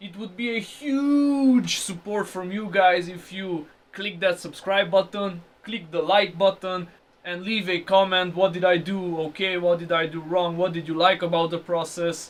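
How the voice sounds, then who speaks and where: A high-pitched man with a non-native accent, speaking at a fairly slow pace over noticeable background noise. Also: ordinary pitch variation. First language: not English. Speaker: car restoration youtuber. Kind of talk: tutorial. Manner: casual.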